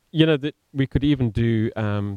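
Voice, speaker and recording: A man in an Australian accent, medium in pitch, with a dark, mellow tone. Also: dry, close sound with no echo. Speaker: community theatre director. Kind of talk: casual chat. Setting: studio. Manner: eloquent.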